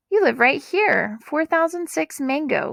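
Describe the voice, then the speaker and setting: A woman puts on a squeaky character voice, high in pitch. Her intonation is lively. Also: moderate pace. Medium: read story. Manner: plain, firm.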